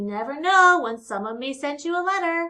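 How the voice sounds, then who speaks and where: At a moderate pace, a woman performs in a put-on character voice. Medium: read story. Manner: warm, encouraging.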